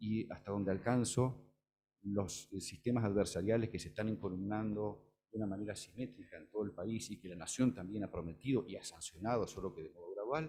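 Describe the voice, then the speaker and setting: A man's dark, mellow voice, fairly low in pitch, with ordinary pitch movement and big swings in loudness. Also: fairly quick pace. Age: 60s. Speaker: law professor, panel speaker. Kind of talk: conference talk. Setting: auditorium with audience.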